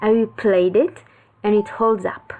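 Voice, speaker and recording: Speaking with a non-native accent, a woman talks at a fairly slow pace at a medium pitch. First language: not English. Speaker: video game reviewer. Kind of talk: scripted narration.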